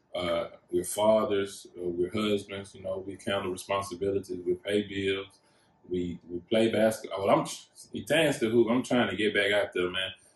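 A man speaks at a moderate pace with a fairly low pitch and fairly even intonation. His loudness swings widely over noticeable background noise. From Texas, Houston area. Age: 40s. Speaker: podcast co-host. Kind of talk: casual chat.

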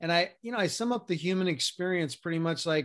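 A man speaks at a moderate pace with fairly high pitch and ordinary pitch variation, in a plain, everyday voice, on a very clean recording with a silent background. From US, New York City. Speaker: health and mindset coach. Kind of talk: podcast interview.

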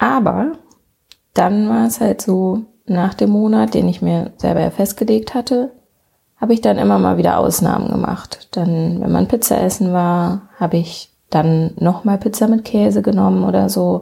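Her loudness very even, a woman talks at a fairly slow pace. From western Germany, near Bonn. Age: 20s. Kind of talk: casual solo podcast monologue.

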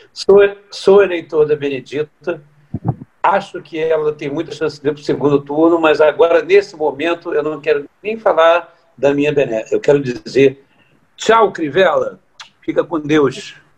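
A man's fairly high pitch, a normal speaking voice at a moderate pace with ordinary pitch variation. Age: 50s. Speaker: samba composer. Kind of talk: casual chat.

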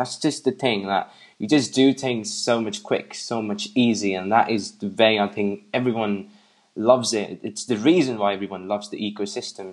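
A man with an English accent, fairly low pitch, ordinary pitch variation, moderate pace, and a quiet background. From England. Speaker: tech enthusiast guest. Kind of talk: casual chat.

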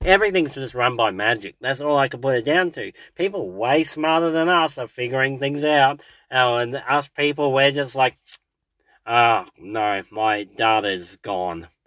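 With an Australian accent, a man speaks at a fairly slow pace, medium pitch and lively intonation on a very clean recording with a silent background. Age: 30s. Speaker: podcast host and bus driver. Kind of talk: casual solo monologue. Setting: in a parked car. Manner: halting, many fillers.

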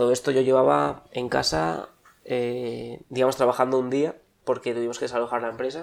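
Talking in a plain, everyday voice, the man holds a medium pitch with ordinary pitch variation. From Spain, Basque Country (Bilbao). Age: 20s. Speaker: former tourism student. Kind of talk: interview.

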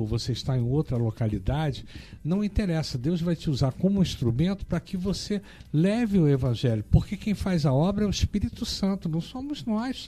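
His voice has a dark, mellow tone and is somewhat breathy. The man moves at a moderate pace with very wide pitch swings. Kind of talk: reading aloud; casual chat.

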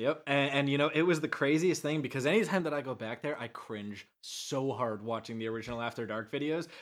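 A man's unremarkable speaking voice, fairly high and fairly quick, with ordinary pitch variation and hardly any pauses, on a very clean recording with a silent background. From Canada. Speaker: ADHD speaker and advocate. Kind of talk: casual chat.

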